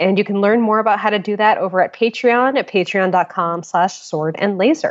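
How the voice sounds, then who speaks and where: A woman with a normal speaking voice talks at a moderate pace and medium pitch, with ordinary pitch variation and hardly any pauses. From Connecticut, US. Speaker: podcast host. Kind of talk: casual chat. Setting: phone call recorded remotely.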